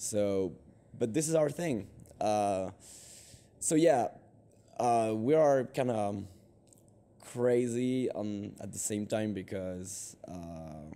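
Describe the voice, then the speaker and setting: In a French accent, the speaker talks at a very slow pace with long, frequent pauses, a dark, mellow tone, lively intonation, and big swings in loudness. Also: man, fairly low pitch for a man. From France. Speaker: band singer. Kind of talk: interview. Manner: halting, many fillers.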